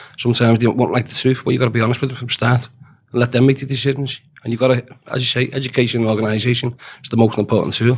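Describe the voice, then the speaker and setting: Talking at a very fast pace, a man uses a Liverpool accent. His medium-pitched delivery is monotone and flat. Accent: Liverpool (Scouse). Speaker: dock worker and shop steward. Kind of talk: interview. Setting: studio.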